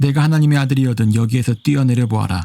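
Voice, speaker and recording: A man speaks in a dark, mellow tone. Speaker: amateur Bible reader. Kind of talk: Bible reading.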